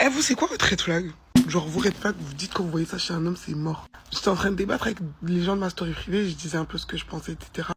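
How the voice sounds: The voice moves at a fast pace with ordinary pitch variation. Its tone is fairly bright. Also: man, high pitch for a man.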